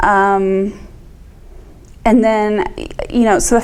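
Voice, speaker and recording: A woman with a medium pitch and fairly even intonation speaks in a room with audible echo. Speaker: vestibular disorder patient speaking to nursing students. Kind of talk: talk to students with Q&A. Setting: classroom talk, being taped. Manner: hesitant, many ums.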